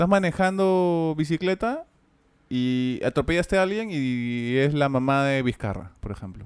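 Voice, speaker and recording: A man uses an ordinary speaking voice with lively intonation. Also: fairly high pitch for a man, moderate pace. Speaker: voice actor and podcast co-host. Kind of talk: casual chat.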